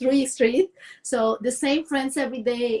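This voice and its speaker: A woman speaks in a Cuban accent at a high pitch. Her pitch variation is ordinary. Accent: Cuban Spanish, rural small-town. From Cuba, rural Villa Clara. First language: Spanish. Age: 40s. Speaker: dance and movement coach. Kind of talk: interview. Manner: halting, with repetitions and fillers.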